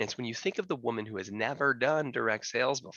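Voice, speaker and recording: A man with an American accent talks very fast at a medium pitch, with ordinary pitch variation. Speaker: panel moderator. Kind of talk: panel discussion.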